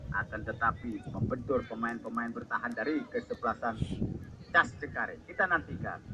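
Against loud background noise, a man speaks at a moderate pace with ordinary pitch variation. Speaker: match commentator. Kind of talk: sports play-by-play commentary. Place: stadium.

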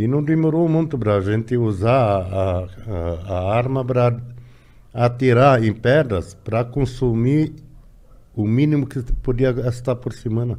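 Speaking with an Arabic accent, a man talks at a fairly slow pace in a dark, mellow tone with ordinary pitch variation. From Lebanon. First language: Arabic (speaking Portuguese). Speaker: immigrant interviewee; interviewee. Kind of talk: casual interview. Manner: halting, repeating words. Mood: serious, reflective. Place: studio. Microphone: studio mic.

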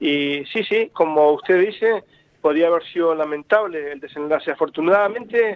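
At a moderate pace, a man speaks with a fairly high pitch, ordinary pitch variation and a clear, smooth tone.

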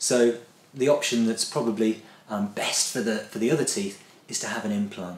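Audible room echo colors the voice of a man who speaks with ordinary pitch variation. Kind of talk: interview answer. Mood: friendly, explanatory. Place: office.

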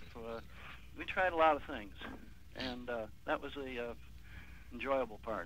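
A plain, everyday voice from a man at medium pitch, with ordinary pitch variation and a moderate pace, in a dry sound with no echo and light background noise. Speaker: caller. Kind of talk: casual chat.

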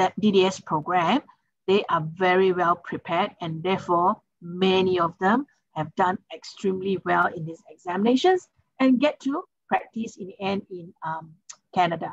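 At a moderate pace and with ordinary pitch variation, a woman speaks in a dry sound with no echo. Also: big swings in loudness, quiet background. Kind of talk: webinar presentation answer. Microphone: video call.

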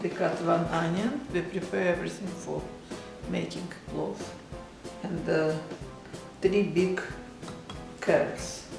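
A woman in a Russian accent with long, frequent pauses, audible room echo, and clear music in the background. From Uzbekistan. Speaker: home cook. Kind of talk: cooking demonstration. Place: kitchen. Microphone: phone near.

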